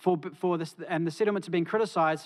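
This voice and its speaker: A man's high-pitched voice with ordinary pitch variation, on a very clean recording with a silent background. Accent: New Zealand. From New Zealand. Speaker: academic panellist. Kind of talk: conference talk. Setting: conference stage with audience. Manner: hesitant with fillers.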